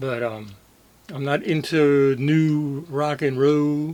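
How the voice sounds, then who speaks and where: This man speaks at a fairly high pitch. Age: 60s. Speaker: video blogger. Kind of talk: casual monologue. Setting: home room, camera on tripod. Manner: casual, hesitant with fillers.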